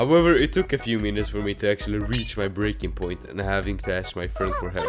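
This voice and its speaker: A man speaks at a very fast pace. Music can be heard behind him. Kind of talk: comedic game dev tutorial narration. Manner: sarcastic, jokey.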